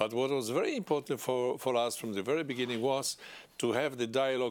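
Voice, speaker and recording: In a very clean recording with a silent background, a man speaks at a medium pitch with ordinary pitch variation and a Polish accent. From Poland. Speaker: politician. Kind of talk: interview. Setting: studio. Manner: halting.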